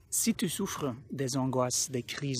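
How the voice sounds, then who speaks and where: A man speaks with a Flemish accent and ordinary pitch variation. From Flanders, Belgium. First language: Dutch (Flemish) (speaking French). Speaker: anxiety coach. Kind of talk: educational talk to camera. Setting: outdoors in a park. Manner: halting, with self-corrections.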